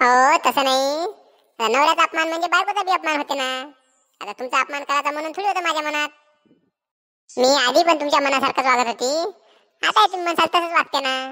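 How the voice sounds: The pace is moderate. The voice is a cartoonish character voice. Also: woman, high pitch for a woman.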